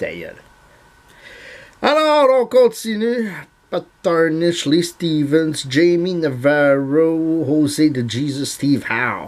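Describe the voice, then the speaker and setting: A fairly high-pitched man in a Montreal accent at a very slow pace, with lively intonation, big swings in loudness and long, frequent pauses. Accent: Montreal Quebec French. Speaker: YouTuber, card collector. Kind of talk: casual vlog monologue. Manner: halting, many fillers.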